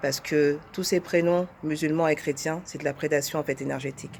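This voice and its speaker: With a very deep, low pitch, a woman speaks at a moderate pace and with fairly even intonation. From France. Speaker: testimonial speaker. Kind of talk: testimony.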